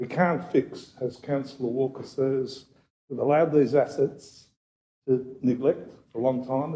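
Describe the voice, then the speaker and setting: A man's medium-pitched voice, somewhat breathy and dark and mellow in tone, with fairly even intonation. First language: not English. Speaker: city councillor. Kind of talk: council meeting debate.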